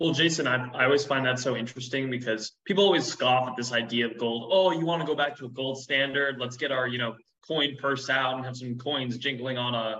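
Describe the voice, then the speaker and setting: Using an ordinary speaking voice, a man speaks at a fairly quick pace and medium pitch with fairly even intonation. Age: 20s. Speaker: podcast host. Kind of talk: interview.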